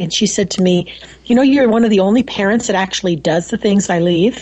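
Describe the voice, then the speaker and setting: At a fairly quick pace, a woman with an unremarkable speaking voice talks in a medium pitch with ordinary pitch variation. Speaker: homeschooling mother. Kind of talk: casual interview. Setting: remote call from home.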